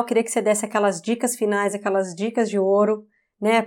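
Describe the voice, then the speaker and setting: In a very clean recording with a silent background, a woman with a fairly high voice speaks at a very fast pace. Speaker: podcast host. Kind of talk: interview.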